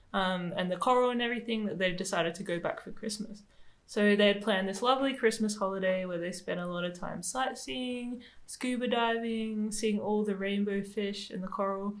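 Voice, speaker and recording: Loudness swings widely in this fairly quick delivery, with ordinary pitch variation. Audible room echo surrounds the voice. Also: woman. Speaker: podcast co-host. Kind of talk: casual chat. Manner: speaks like a kindergarten teacher.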